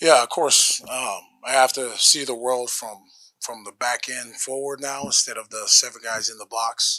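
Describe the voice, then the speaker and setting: The speaker keeps a moderate pace and fairly even intonation. Loudness swings widely. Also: man, medium pitch for a man. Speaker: football coach. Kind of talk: press conference.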